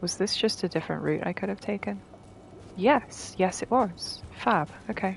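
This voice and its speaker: Using an English accent, a woman with vocal fry speaks at a medium pitch and moderate pace with lively intonation. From England. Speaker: video game streamer. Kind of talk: casual gameplay commentary. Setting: live stream.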